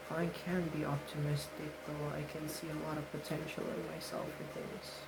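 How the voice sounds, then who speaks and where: Soft-spoken at a moderate pace, the voice comes with noticeable background noise. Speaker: vlogger. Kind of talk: personal year-end reflection vlog. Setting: at home. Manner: quiet due to others at home.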